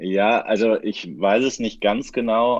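A man speaks at a fairly slow pace. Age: 30s. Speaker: futsal coach. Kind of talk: podcast interview. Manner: halting, many fillers.

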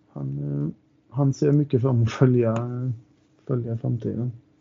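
A man at a fairly slow pace, with long, frequent pauses and very wide pitch swings. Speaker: football supporter. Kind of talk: casual interview chat.

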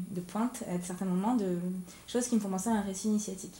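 A woman's fairly even intonation amid audible room echo. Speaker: podcast host. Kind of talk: interview. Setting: media library room.

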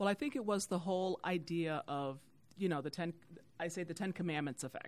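With an American accent, a woman with an unremarkable speaking voice and fairly low pitch speaks fairly quickly with ordinary pitch variation. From Youngstown, Ohio. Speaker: church volunteer and media sales executive. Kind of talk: podcast interview.

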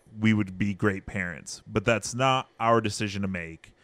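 A man with an American accent speaks at a fairly low pitch with fairly even intonation on a very clean recording with a silent background. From California, Central Valley (Hanford). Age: 20s. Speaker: foster parent and video game worker. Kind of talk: casual interview chat. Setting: studio.

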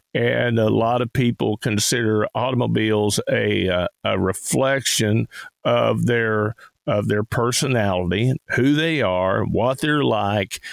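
A man speaks with a Tennessee accent. His pace is fairly slow. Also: very even loudness. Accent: Southern US (Tennessee). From Tennessee hills. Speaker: radio host and auctioneer. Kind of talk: radio call-in show chat.

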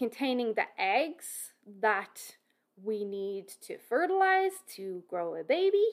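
With an Irish accent, a woman speaks at a very slow pace in a high pitch with very wide pitch swings, on a very clean recording with a silent background. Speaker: fitness and nutrition expert, podcaster. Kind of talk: educational solo podcast monologue. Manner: informal, conversational.

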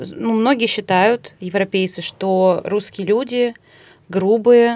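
An ordinary speaking voice with fairly even intonation. The recording is very clean, with a silent background. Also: woman. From Russia. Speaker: podcast co-host. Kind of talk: casual chat.

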